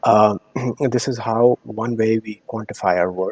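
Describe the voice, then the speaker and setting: Speaking with an Indian accent, a man uses a dark, mellow tone at medium pitch and a moderate pace, the sound dry and close with no echo. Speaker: corporate strategy professional. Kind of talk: podcast interview. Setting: live-streamed show.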